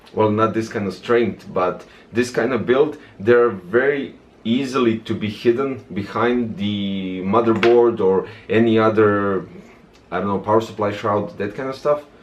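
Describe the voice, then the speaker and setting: Through noticeable background noise, a medium-pitched man talks at a fairly slow pace with fairly even intonation. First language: non-English. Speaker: tech reviewer. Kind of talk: product review tutorial. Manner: casual, hesitant with many fillers.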